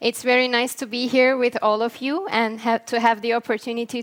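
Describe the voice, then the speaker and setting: A woman speaks at a high pitch with a Turkish accent. Her pace is fairly quick. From northern Cyprus (Morphou). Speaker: peacebuilding NGO worker. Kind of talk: conference talk.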